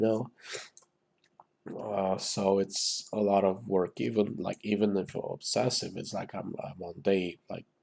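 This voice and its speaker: With a Romanian accent, a man speaks at a moderate pace in a fairly low, dark and mellow voice. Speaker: gaming YouTuber. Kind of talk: gameplay commentary. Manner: casual, hesitant with many fillers.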